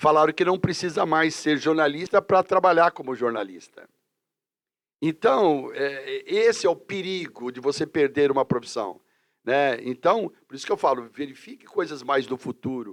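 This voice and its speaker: A man with an ordinary speaking voice, fairly high-pitched, lively in intonation and with big swings in loudness, at a moderate pace, dry and close with no echo. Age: 60s. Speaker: teacher and career counselor. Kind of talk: casual interview chat.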